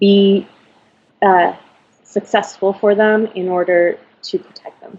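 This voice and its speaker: A woman's medium-pitched voice, flat and monotone, at a very slow pace, with big swings in loudness. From Florida, Venezuelan parents. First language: Spanish. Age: 30s. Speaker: ballet dancer. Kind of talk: interview.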